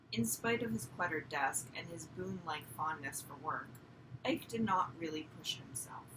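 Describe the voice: A woman speaks at a moderate pace with lively intonation, her fairly low, croaky voice carrying a bright, sharp tone.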